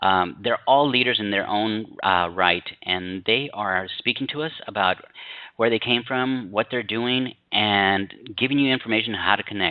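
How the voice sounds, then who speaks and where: This man has a plain, everyday voice with a fairly low pitch. He talks at a moderate pace with ordinary pitch variation. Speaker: online news interviewer. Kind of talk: interview introduction.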